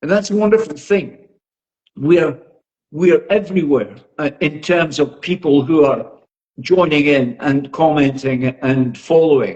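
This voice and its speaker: A man speaks with a Scottish accent at a fairly high pitch. His pace is fairly slow, and his pitch variation is ordinary. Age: 80s+. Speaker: boxing social media influencer. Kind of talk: podcast interview.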